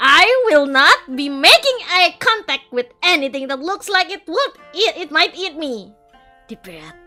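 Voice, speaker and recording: A woman's put-on character voice, extremely high and at a moderate pace, with very wide pitch swings, big swings in loudness and faint music in the background. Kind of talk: game text read aloud. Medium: virtual streamer. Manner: flustered, wry.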